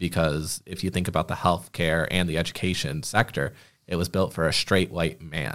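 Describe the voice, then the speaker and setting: A man talks at a moderate pace in a very deep, low pitch with fairly even intonation. The recording is very clean, with a silent background. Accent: American. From Michigan, Genesee County. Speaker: communications coordinator and podcast host. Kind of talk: casual chat.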